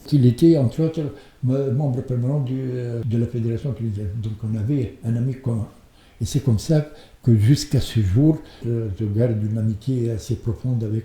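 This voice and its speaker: Somewhat breathy and dark, mellow in tone, a man speaks at a medium pitch and moderate pace with ordinary pitch variation. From Tunisia. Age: 80s+. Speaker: chess club member. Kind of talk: interview. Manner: halting, with frequent hesitations.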